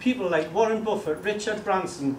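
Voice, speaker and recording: Audible room echo and noticeable background noise surround a man whose lively intonation carries at a moderate pace. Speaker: network marketing speaker. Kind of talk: motivational talk to a seminar audience. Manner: animated.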